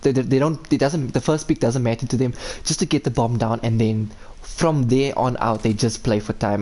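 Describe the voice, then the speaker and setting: A man with a South African accent talks at a fairly quick pace. His pitch sits in the middle range and rises and falls in the usual way. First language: Afrikaans. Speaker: esports caster. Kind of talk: live commentary. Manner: animated.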